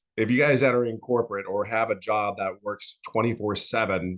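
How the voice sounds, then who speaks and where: An ordinary speaking voice from a man, fairly low in pitch, at a moderate pace against a quiet background. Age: 50s. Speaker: former corporate executive, course customer. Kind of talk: testimony.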